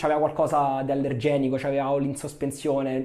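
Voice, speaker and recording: A man talks at a very fast pace. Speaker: shaving YouTuber. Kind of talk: product review tutorial. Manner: loud.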